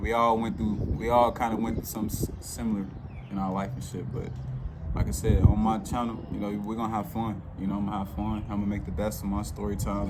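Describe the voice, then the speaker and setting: A man races through his words very fast, with noticeable background noise and audible echo from the room. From Chicago, South Side. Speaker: YouTuber telling his life story. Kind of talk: casual storytelling monologue. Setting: outdoors. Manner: casual, heavy filler words.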